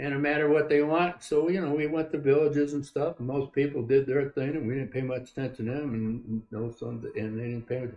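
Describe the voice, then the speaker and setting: Noticeable background noise sits behind a man's voice. He speaks with fairly even intonation and hardly any pauses. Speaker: Vietnam War veteran. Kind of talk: interview answer. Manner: halting, conversational.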